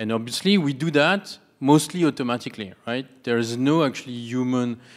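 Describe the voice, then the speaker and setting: Speaking at a fairly quick pace, a man with a strong French accent shows ordinary pitch variation. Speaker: audience member, startup CEO; audience member. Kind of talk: audience Q&A comment. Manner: halting. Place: hall. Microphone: handheld.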